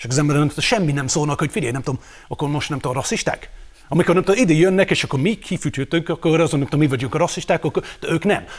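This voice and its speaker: With ordinary pitch variation, this voice rushes along at a very fast pace. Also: man, fairly high pitch for a man. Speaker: panelist. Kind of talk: casual banter on a TV talk show.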